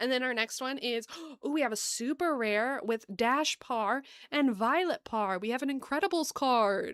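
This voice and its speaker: On a very clean recording with a silent background, a woman speaks in a high pitch. Her tone is animated, her intonation lively and her pace fairly slow. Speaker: gaming streamer. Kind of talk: live gameplay stream chat.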